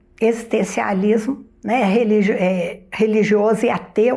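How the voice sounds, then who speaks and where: At a fairly slow pace, a woman talks with vocal fry. Her pitch is medium. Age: 70s. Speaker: retired philosophy professor. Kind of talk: interview.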